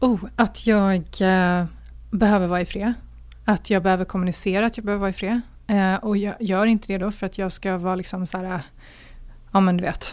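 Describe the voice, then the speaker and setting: A woman speaks at a fairly quick pace with a medium pitch and flat, monotone intonation, stopping for long, frequent pauses. The recording is very clean with a silent background. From Sweden, Gothenburg. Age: 40s. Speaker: single being interviewed, communications strategist. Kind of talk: casual interview. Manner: hesitant, filler-heavy.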